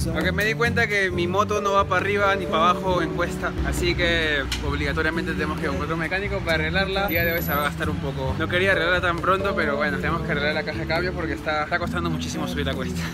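A man's very fast delivery with hardly any pauses, over loud music in the background. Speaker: travel vlogger. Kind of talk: casual vlog chat. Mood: wry, mildly frustrated. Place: motorbike. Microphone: phone near.

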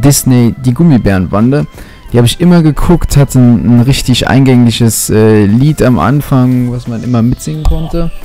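With music in the background, a man speaks at a moderate pace and ordinary pitch variation in a dry sound with no echo. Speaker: gaming commentator. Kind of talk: commentary.

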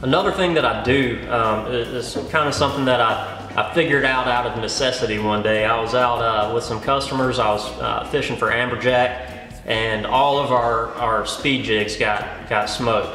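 Faint music plays behind a voice that moves at a moderate pace with fairly even intonation and audible room echo. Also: man, hardly any pauses. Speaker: fishing guide. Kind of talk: tutorial. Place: studio.

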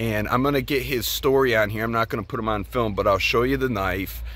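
The dry sound with no echo carries a man speaking at a fairly quick pace. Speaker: bookseller and YouTuber. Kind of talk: casual vlog. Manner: halting, repeats words. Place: open country. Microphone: phone near.

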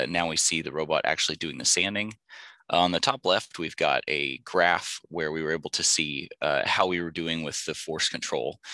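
The speech moves at a moderate pace with vocal fry throughout. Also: man. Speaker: aerospace engineer presenting a robotics project. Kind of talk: conference presentation. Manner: halting, many filler words.

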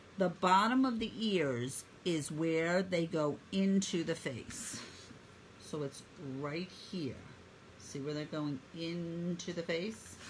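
A woman speaks at a very slow pace with a fairly low pitch. Her voice is somewhat breathy and warm in tone. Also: ordinary pitch variation. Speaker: painting instructor. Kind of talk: live online painting tutorial. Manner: talkative, friendly; warm, encouraging.

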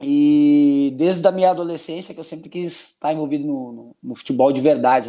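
Against a quiet background, a man speaks at a moderate pace with a dark, mellow tone and fairly even intonation. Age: 40s. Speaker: football assistant coach. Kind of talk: casual interview. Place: home room.

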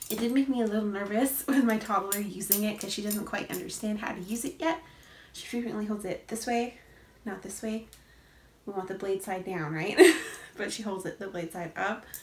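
A woman speaks at a fairly quick pace. Audible room echo surrounds her voice. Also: ordinary pitch variation. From Canada. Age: 20s. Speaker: mom vlogger. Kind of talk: product review to camera. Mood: cheerful, animated. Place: home room. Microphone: phone near.

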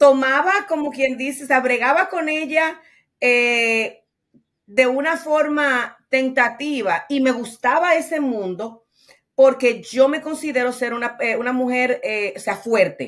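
The background is quiet as a woman speaks in a Dominican accent. Her pitch is high and her pace very slow. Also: ordinary pitch variation. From Dominican Republic. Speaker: trucking business owner; guest. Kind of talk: interview. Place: home room.

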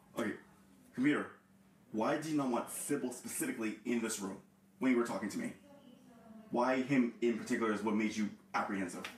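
A man speaks at a very fast pace. Light background noise and audible room echo surround him. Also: ordinary pitch variation. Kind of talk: confused questioning of an unseen voice. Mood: confused, agitated. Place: home room. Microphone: camera far.

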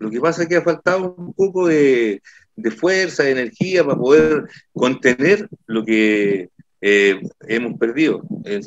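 A man's very slow delivery with lively intonation, in a dry sound with no echo and a quiet background. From Copiapó, northern Chile. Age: 60s. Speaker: musician and council candidate. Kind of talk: political candidate interview. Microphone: video call.

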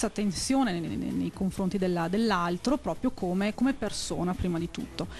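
Light background noise sits under talking at a moderate pace with ordinary pitch variation. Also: woman. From Veneto, province of Vicenza; Veneto, Italy. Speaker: scout association regional leader; guest. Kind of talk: live TV talk show interview. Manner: halting, with repetitions. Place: studio. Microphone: handheld.

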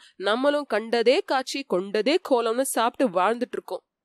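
Recorded dry and close with no echo, a woman speaks in a high voice. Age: 30s. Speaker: audiobook channel narrator. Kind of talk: spoken tribute monologue.

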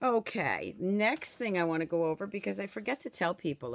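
Against a quiet background, a woman with a very deep, low pitch speaks at a fairly slow pace with lively intonation. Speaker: craft product seller. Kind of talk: casual live-stream chat. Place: home room. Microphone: phone near.

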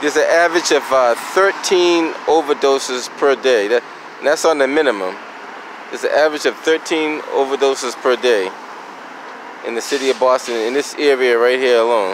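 A man speaks at a moderate pace with ordinary pitch variation. The sound is dry with no echo, and noticeable background noise runs underneath. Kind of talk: casual vlog commentary. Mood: concerned, earnest. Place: street. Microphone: phone near.

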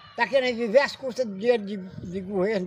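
There is light background noise behind a man whose voice is high-pitched. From Brazil. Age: 90s. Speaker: elderly lot cleaner. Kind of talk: street interview. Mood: firm, proud, opinionated. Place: open country. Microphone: phone near.

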